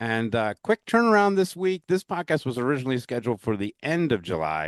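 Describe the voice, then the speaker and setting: A man's medium-pitched voice with a strong New York accent, very wide pitch swings and a fairly quick pace, dry and close with no echo over a quiet background. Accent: New York accent, currently strong. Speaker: pinball podcast host. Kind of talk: casual podcast chat and outro. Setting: virtual recording.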